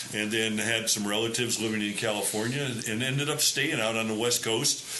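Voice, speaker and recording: Speaking fairly quickly with a Midwestern accent, the voice holds a very even loudness and fairly even intonation amid noticeable background noise and audible room echo. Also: man, medium pitch for a man. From US Midwest, Cleveland, Ohio. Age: 70s. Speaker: retired basketball coach and civic leader. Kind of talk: interview.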